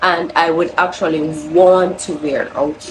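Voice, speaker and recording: A woman with a Jamaican accent, amid noticeable background noise. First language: Jamaican Patois. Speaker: crochet vlogger. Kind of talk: casual vlog talk.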